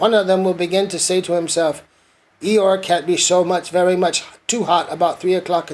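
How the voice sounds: This recording has a natural reading voice.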